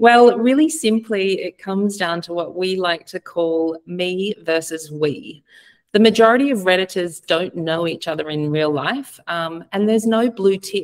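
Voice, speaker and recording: Against a quiet background, a woman in an unremarkable speaking voice talks at a fairly slow pace, with medium pitch and lively intonation. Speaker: advertising platform representative. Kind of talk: webinar presentation. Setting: video call. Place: home room.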